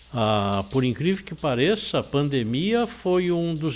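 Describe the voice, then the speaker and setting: A man speaks with very wide pitch swings. Music plays behind him. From São Paulo coast, Brazil. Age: 70s. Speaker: real estate association president. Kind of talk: interview.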